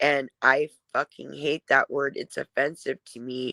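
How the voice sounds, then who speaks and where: A woman with a very deep, low pitch speaks in a monotone, flat intonation, the sound dry and close with no echo. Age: 40s. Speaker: live streamer. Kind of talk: casual chat. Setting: live stream.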